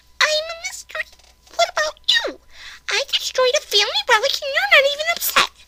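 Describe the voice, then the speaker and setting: A female-sounding put-on character voice, squeaky and extremely high in pitch, runs at a fairly quick pace. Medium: read story. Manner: stammering.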